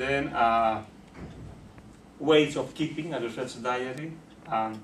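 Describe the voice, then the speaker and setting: With a Spanish accent, a man speaks at a fairly slow pace and medium pitch, his pitch varying in an ordinary way, with audible room echo. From Bolivia. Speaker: sociologist and university lecturer. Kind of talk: lecture. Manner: halting with frequent fillers.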